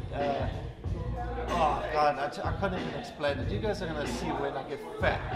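With music in the background, a man talks at a moderate pace. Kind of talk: casual vlog chat. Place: gym.

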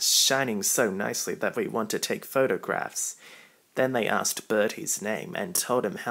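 What we hear is plain reading aloud.

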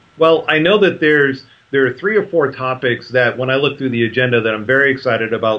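The pitch varies in an ordinary way. Delivery is fairly quick, with few pauses. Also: man.

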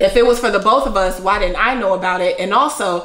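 Audible room echo around a moderate pace. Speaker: podcast-style co-host. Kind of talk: casual vlog chat. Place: home room.

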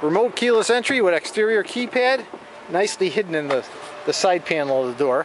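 A man's high-pitched voice at a moderate pace, very wide pitch swings, dry sound with no echo, and noticeable background noise. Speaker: car salesman. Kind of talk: car dealership sales pitch, walkaround video tour. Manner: upbeat, enthusiastic, pitchy; casual, with occasional filler hesitations. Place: street. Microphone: phone near.

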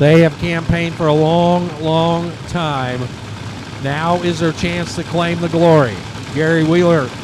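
With noticeable background noise behind it, the talking proceeds at a fairly slow pace. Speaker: race announcer. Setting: track PA or broadcast booth at drag strip. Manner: excitable, punchy, building hype toward each pass.

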